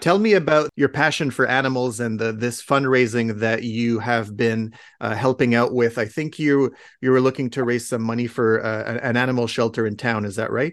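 With a Canadian accent, this man has an unremarkable speaking voice, medium in pitch and fairly even in intonation, talking at a moderate pace against a quiet background. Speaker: podcast host. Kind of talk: interview. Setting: video call.

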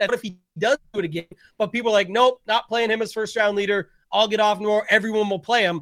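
With a Canadian accent, a man speaks at a very fast pace and high pitch with fairly even intonation, in a dry, close sound with no echo. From Canada. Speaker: daily fantasy sports player. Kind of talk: casual chat.

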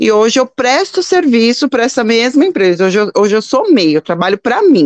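Her pitch fairly high, a woman talks at a fairly quick pace with very wide pitch swings. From São Paulo, Brazil. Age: 40s. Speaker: entrepreneur and mother. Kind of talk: interview. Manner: halting.

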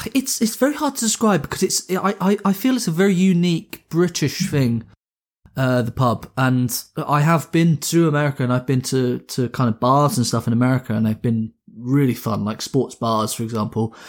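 A man with an English accent talks at a moderate pace, fairly high in pitch, with lively intonation. The recording is very clean, with a silent background. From England. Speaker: podcast co-host. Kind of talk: casual chat.

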